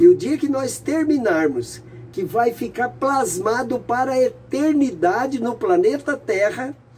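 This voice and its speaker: Speech comes at a very slow pace against noticeable background noise. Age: 80s+. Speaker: spiritist bookseller and preacher. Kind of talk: live stream talk with blessing. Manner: animated.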